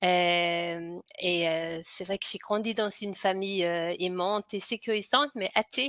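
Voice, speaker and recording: At a very slow pace with hardly any pauses, a woman with a slight Danish accent talks at a medium pitch with ordinary pitch variation, in a dry, close sound with no echo. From Denmark. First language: Danish (speaking French). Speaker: hypnotherapist and author. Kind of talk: interview. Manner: halting, many fillers and repetitions.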